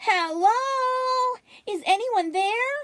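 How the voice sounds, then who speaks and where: A woman performs a put-on character voice. It is squeaky and extremely high in pitch. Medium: read story.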